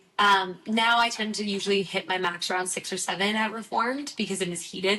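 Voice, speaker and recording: Against noticeable background noise, a woman speaks at a fairly quick pace with fairly even intonation. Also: medium pitch for a woman. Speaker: Pilates instructor and studio manager. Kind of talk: casual chat.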